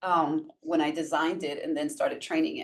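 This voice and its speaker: A woman with a New York accent. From Brooklyn, New York (Puerto Rican). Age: 60s. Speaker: workshop facilitator and transformational coach. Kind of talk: casual interview conversation.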